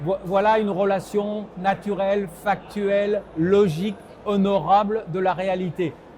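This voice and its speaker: A man speaks very slowly at a high pitch, his intonation monotone and flat. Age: 70s. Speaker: political scientist. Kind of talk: interview.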